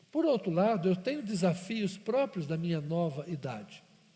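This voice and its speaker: A man speaks at a high pitch in a dark, mellow tone with very wide pitch swings. His pace is fairly slow, and audible room echo surrounds him. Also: long, frequent pauses. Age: 50s. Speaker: pastor. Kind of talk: sermon.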